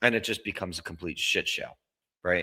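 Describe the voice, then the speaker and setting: A man is talking in an American accent. His voice has a bright, sharp tone. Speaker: sports podcast host. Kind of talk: casual commentary monologue.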